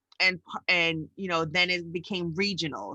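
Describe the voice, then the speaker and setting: The voice has a bright, sharp tone and a New York accent, moving at a moderate pace in a dry, close sound with no echo. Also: woman. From New York City. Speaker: educator and podcast co-host. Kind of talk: casual chat.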